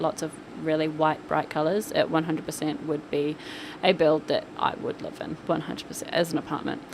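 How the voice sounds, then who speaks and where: A woman talks at a fairly quick pace with a fairly low pitch. Noticeable background noise is present. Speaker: gaming YouTuber narrating a build. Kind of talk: casual voice-over commentary. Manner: animated.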